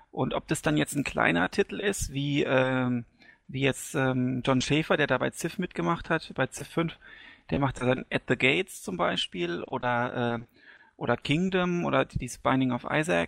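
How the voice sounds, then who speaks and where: Pitched in the middle range, a man speaks at a fairly slow pace. His pitch swings very widely. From Hesse, Germany. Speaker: gaming community member. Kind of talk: casual chat.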